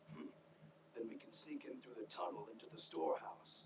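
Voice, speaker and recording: A raspy, put-on character voice from a man at a fairly quick pace, with clear background noise. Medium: video game. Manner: gruff, wry.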